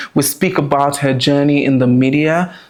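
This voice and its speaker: A man's fairly high voice moves at a moderate speed, its intonation fairly level. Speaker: podcast host. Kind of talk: podcast intro and interview.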